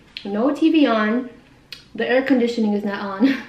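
Moderately paced speech from a woman, with audible room echo. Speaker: vlogger. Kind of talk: casual chat. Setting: at home, quiet room. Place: home room. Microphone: camera far.

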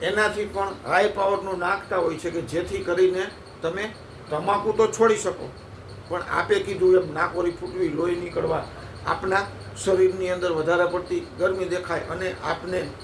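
Amid noticeable background noise and audible room echo, a man speaks in a high pitch with monotone, flat intonation. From Gujarat, India (Halvad taluka, Jhalawad). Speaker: herbal product seller and community elder. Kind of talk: sales pitch.

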